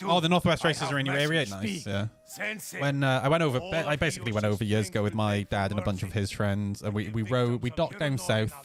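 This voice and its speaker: Over music in the background, a man talks at a very fast pace and medium pitch with lively intonation. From Wales, Newport. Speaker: gaming streamer. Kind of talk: casual live-stream chat while gaming. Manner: animated.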